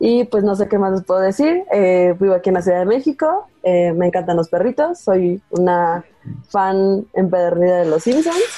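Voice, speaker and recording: A woman's moderate-speed talking comes through with noticeable background noise. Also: medium pitch for a woman, ordinary pitch variation, very even loudness. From Veracruz, Mexico. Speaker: UX researcher, sociologist. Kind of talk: casual interview. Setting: video call.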